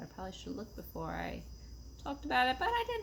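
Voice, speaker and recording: A woman with a New York accent. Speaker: knitting podcaster. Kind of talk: casual chat.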